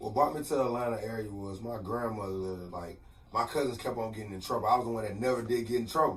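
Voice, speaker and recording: A man at a medium pitch with ordinary pitch variation talks very fast, with audible room echo and noticeable background noise. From Texas, Port Arthur. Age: 30s. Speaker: motivational speaker. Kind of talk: radio interview. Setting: radio studio.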